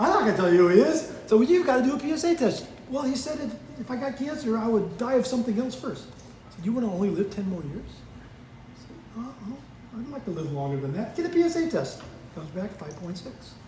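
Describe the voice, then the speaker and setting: A man talks very fast in a high pitch, with very wide pitch swings and big swings in loudness, amid audible room echo and noticeable background noise. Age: 70s. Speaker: church member. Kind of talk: testimony. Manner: animated.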